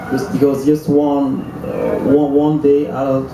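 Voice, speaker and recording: A man talks fairly slowly at a fairly high pitch, with fairly even intonation. Noticeable background noise and audible room echo surround him. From Senegal. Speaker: bass player, musician. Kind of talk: interview on stage. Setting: stage with audience in a tent. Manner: halting, hesitant.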